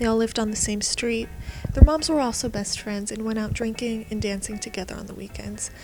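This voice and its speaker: A woman with an American accent and fairly high pitch speaks at a moderate pace with fairly even intonation, music playing in the background. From United States. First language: Hebrew. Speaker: YouTuber. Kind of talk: personal monologue.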